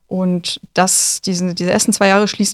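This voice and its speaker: A woman uses a normal speaking voice, speaking at a medium pitch and a moderate pace with fairly even intonation. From northern Germany, near Neubrandenburg. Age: 20s. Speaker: doctor in training. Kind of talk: casual interview. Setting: radio studio.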